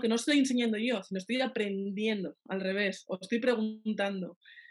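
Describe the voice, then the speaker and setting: Her pitch sits fairly high. This woman's pitch shifts in an ordinary way. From Navarre, Spain (Pamplona). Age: 30s. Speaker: pastry chef. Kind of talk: interview.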